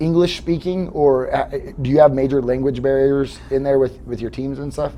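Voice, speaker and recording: A man talks at a moderate pace with fairly even intonation. Background noise is noticeable. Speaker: podcast host. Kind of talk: casual interview chat. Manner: casual, rambling with fillers.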